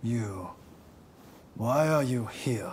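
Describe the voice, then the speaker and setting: A man speaks in a put-on character voice at a medium pitch, with clear background noise behind him. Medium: video game. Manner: curt, direct.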